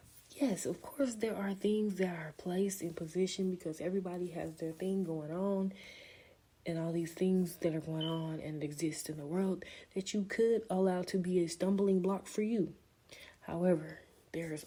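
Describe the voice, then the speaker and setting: Somewhat breathy and dark, mellow in tone, a woman speaks at a moderate pace with fairly even intonation and a fairly low pitch. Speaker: podcast host. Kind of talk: casual monologue podcast. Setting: at home.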